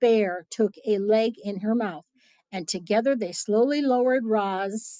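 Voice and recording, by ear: Someone is reading aloud in a natural voice, with a quiet background.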